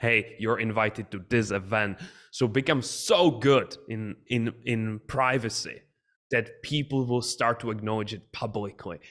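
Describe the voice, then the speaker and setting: Medium-pitched male speech, fairly slow, with fairly even intonation, on a very clean recording with a silent background. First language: not English. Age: young. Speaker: business coach and entrepreneur. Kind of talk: podcast interview.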